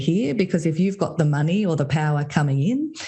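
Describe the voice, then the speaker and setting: With an Australian accent, a woman speaks in a very deep, low pitch with a dark, mellow tone, a somewhat breathy quality and ordinary pitch variation. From Australia, Sydney. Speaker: consultant and podcast host. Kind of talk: interview conversation.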